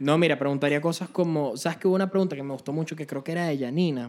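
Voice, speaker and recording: The recording is very clean, with a silent background. A man talks at a fairly high pitch with ordinary pitch variation. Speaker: podcast co-host. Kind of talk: casual chat. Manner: animated.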